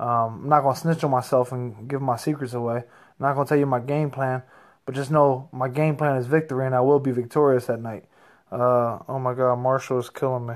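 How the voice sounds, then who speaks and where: An animated man with an American accent talks fairly quickly at a medium pitch against a quiet background. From Reading, Pennsylvania; Pennsylvania. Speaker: professional heavyweight boxer. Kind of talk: casual chat. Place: home room. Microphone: phone near.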